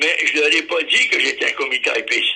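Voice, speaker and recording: There is noticeable background noise. Over it, a man speaks at a fairly slow pace. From Ottawa, Canada. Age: 90s. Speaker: war veteran. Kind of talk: oral history testimony. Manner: halting.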